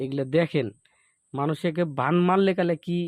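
A man with a plain, everyday voice and ordinary pitch variation, dry and close with no echo, against a quiet background. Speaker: folk healer. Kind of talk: sales pitch; casual chat.

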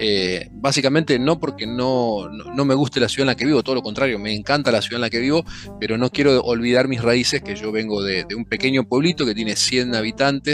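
Clear music plays behind a man talking at a fairly quick pace with hardly any pauses. His pitch varies in an ordinary way. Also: dry sound with no echo. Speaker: podcast guest, drinks creator. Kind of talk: interview answer. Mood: relaxed, warm, humorous. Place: home room. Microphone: headset.

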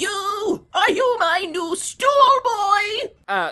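A woman shouts in an extremely high voice. Her pitch varies in an ordinary way. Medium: fan dub. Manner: shouting, demanding, erratic.

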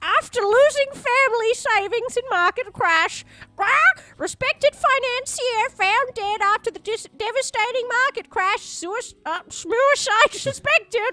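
A woman does a put-on character voice. Her pitch is extremely high and her pace fairly slow. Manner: mock-dramatic news reading.

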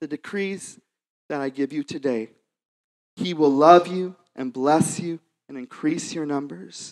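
Words come at a fairly slow pace. The background is quiet. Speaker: worship leader. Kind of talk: prayer. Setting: church. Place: church. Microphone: handheld.

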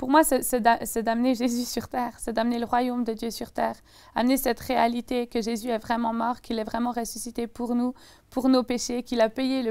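A woman speaks at a moderate pace in a fairly high pitch, with a dark, mellow tone. Her intonation is monotone and flat against a quiet background. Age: 20s. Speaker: young evangelist and Bible student; young evangelist. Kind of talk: testimony. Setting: TV studio. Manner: intense, passionate. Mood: earnest faith testimony. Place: studio. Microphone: lapel.

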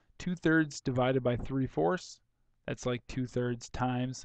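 A man talks at medium pitch in a normal speaking voice. His pace is fairly slow. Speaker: math teacher. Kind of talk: tutorial. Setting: recorded video lesson. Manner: casual, conversational.

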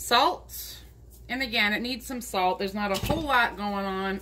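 A woman talks at a fairly slow pace. Noticeable background noise can be heard. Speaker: home cook vlogger. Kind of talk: casual cooking tutorial. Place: kitchen.

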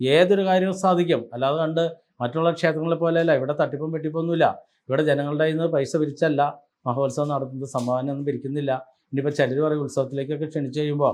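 A man of fairly high pitch uses an ordinary speaking voice with fairly even intonation. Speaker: astrologer and temple spokesperson. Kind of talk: promotional religious talk to camera.

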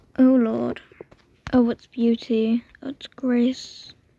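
High in pitch, a woman's voice comes through with a dry, close sound and no echo. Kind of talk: casual gameplay commentary.

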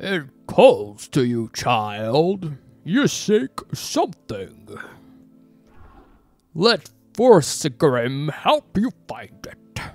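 A put-on character voice at a middle pitch, with very wide pitch swings, a very slow pace, long, frequent pauses and faint music in the background. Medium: solo performance. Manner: seductive, ominous, slow.

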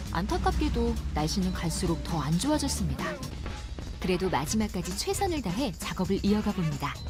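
Someone talks at a fairly quick pace with an upbeat tone while music plays in the background. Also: woman, very even loudness. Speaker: voice actor. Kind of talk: TV documentary narration. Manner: bright, upbeat; natural, conversational.

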